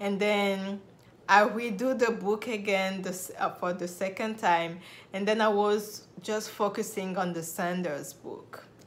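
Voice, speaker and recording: In a room with audible echo, a woman speaks at medium pitch and a fairly slow pace with fairly even intonation. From Republic of Congo. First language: French. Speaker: nurse and video blogger. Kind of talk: personal story vlog.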